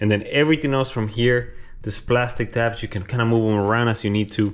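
A man has a plain, everyday voice with a fairly low pitch. He talks at a fairly quick pace. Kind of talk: tutorial. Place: garage. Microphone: phone near.

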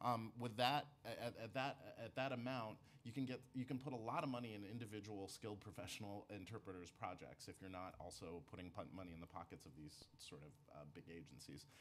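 Over light background noise, a man in a normal speaking voice talks at a fairly quick pace with fairly low pitch, lively intonation and big swings in loudness. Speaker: nonprofit executive director; public witness. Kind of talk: testimony. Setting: council hearing room. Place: meeting room. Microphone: podium.

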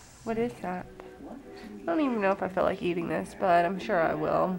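A woman talks at a fairly quick pace. Clear music plays in the background. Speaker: mother vlogger. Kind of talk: casual vlog chat. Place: home room. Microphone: phone near.

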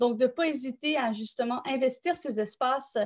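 Against a quiet background, the speaker talks at a moderate pace in a Quebec accent with ordinary pitch variation. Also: woman. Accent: Québécois French. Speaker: nonprofit co-founder and director; thesis coaching service representative. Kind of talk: live-stream panel discussion. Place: home room. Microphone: webcam.

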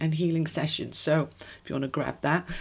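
A woman's voice, with ordinary pitch variation, is heard against a quiet background. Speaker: tarot reader. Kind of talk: casual reading intro to viewers. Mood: warm, glad to be back. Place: home room. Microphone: phone near.

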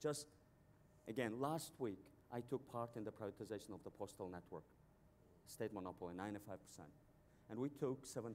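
A man with a Mongolian accent speaks at a moderate pace and medium pitch, with ordinary pitch variation. Long, frequent pauses break up his speech over light background noise. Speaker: banker, financial company CEO; panelist. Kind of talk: panel discussion. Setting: stage with audience at a conference. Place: stage. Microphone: lapel.

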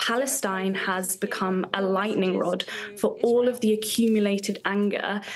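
A woman speaks at a moderate pace and medium pitch with a British accent, her intonation monotone and flat. There is light background noise. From UK. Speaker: activist. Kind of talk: interview answer. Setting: live remote interview. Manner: passionate, fiery, urgent, declamatory. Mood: earnest, political conviction. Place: home room.

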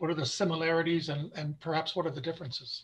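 A man speaks in a high pitch with an American accent. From California. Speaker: retired professor moderating webinar. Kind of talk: webinar moderation and Q&A. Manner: halting, many fillers. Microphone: video call.

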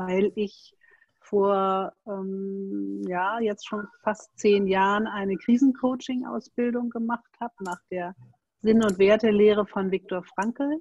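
Here a woman speaks slowly at a medium pitch, with a slightly mellow tone. Her intonation is fairly even, and the sound is dry and close with no echo.

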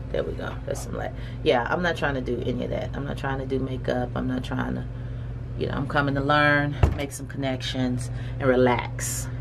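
A woman at a fairly quick pace, with noticeable noise behind her. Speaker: hemp farmer and vlogger. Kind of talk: casual vlog. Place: home room.

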